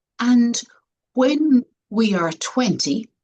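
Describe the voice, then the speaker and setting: Dark, mellow and somewhat breathy delivery with lively intonation. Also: woman. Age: 60s. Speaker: health coach and speaker. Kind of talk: interview conversation.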